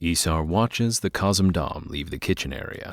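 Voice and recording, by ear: A man speaks with a low pitch and lively intonation. The recording is very clean, with a silent background. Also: fairly slow pace.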